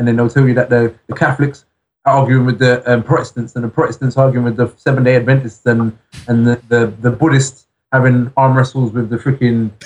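The speech comes at a fairly quick pace in an English accent. The voice is somewhat breathy, with monotone, flat intonation. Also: man, medium pitch for a man. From England. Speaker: rapper. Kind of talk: interview. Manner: halting.

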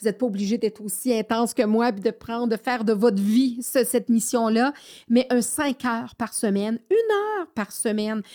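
Fairly high-pitched with a dark, mellow tone, a woman talks with fairly even intonation on a very clean recording with a silent background. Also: dry, close sound with no echo. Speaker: podcast host and education specialist. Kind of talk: solo podcast monologue. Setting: studio. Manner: halting with frequent fillers and repetitions.

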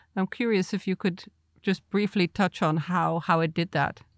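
A woman with an ordinary speaking voice talks at a moderate pace and medium pitch, with ordinary pitch variation, in a very clean recording with a silent background. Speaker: podcast co-host interviewer. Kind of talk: interview questions.

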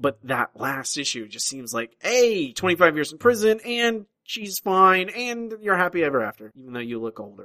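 A man's raised, projected voice with a bright, sharp tone, very wide pitch swings and big swings in loudness, at a moderate pace with hardly any pauses, in a dry, close sound with no echo. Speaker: podcast host. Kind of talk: casual banter.

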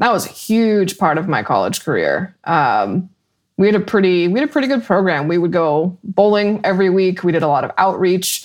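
Against a quiet background, a woman with an American accent and a normal speaking voice talks at a moderate pace and medium pitch with lively intonation. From Colorado, Weld County. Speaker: emergency management consultant and meteorologist. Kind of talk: interview.

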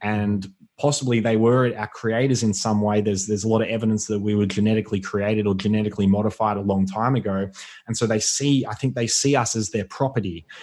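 Someone with an Australian accent talks at a very fast pace. The intonation stays fairly even. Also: man, fairly low pitch for a man. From Australia, Melbourne (Yarra Valley). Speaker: author and former professional athlete. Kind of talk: casual interview.

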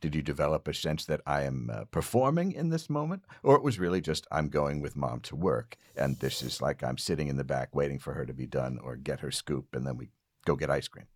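Very deep, low male voice with vocal fry, fairly quick pace and fairly even intonation. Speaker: podcast host. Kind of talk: casual interview; scripted comedic monologue. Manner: hesitant, many fillers.

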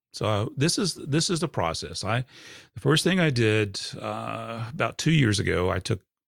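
A man's medium-pitched voice with vocal fry and lively intonation, in a dry, close sound with no echo and a very clean recording with a silent background. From Georgia, USA. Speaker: painter and podcaster. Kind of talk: interview.

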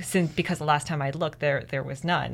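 A woman's very deep, low voice with a Canadian accent and fairly even intonation, over music in the background. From Canada. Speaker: PhD student in education, former teacher. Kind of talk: interview.

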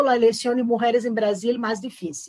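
A woman with a Portuguese accent speaks at a high pitch. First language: Portuguese (speaking Spanish). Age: 40s. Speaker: university lecturer and political campaign author. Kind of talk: interview.

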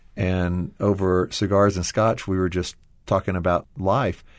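Here is a man in an ordinary speaking voice with a fairly low pitch. He speaks fairly slowly. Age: 40s. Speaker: former publishing executive, ministry team member. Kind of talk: interview. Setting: studio.

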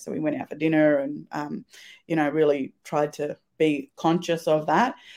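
A woman speaks with an Australian accent. Her pitch is very deep and low, and her pace moderate. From rural Victoria, Australia (Swan Hill area, Murray border). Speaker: business founder. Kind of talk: casual interview.

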